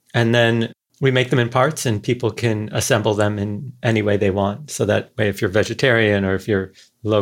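A man talks at a fairly quick pace with a fairly low pitch. The recording is very clean, with a silent background. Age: 40s. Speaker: behavioral scientist, author. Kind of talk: casual interview chat.

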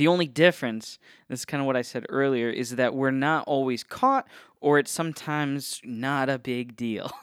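On a very clean recording with a silent background, a man with an American accent speaks in an unremarkable speaking voice at a medium pitch, a moderate pace and with fairly even intonation. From Northeast Ohio. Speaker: podcast host. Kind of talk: casual solo talk on theology. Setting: podcast studio. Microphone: testing a new studio's equipment.

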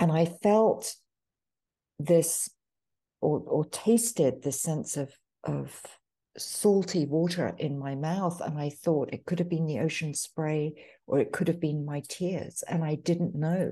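A woman speaks very slowly in a fairly low, dark, mellow tone. The background is quiet. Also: ordinary pitch variation. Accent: British. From United Kingdom. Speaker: author. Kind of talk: casual interview conversation.

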